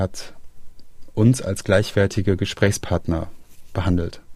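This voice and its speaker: A man's fairly low voice has a dark, mellow tone and a somewhat breathy quality. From Germany, Rhineland (Aachen). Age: 30s. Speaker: interviewee sharing family addiction story. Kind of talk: personal testimony interview. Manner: hesitant, with fillers and repetitions.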